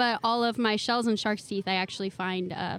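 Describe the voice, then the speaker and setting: A woman with an American accent, fairly quick in pace and monotone, flat in intonation. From California. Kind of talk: casual interview. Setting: outdoor vendor fair booth.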